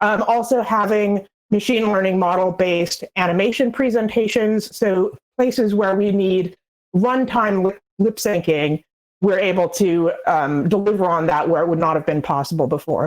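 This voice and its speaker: Speaking at a moderate pace in a normal speaking voice, a woman with medium pitch keeps her loudness very even and her pitch variation ordinary. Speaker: game narrative designer, conference panelist. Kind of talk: conference talk.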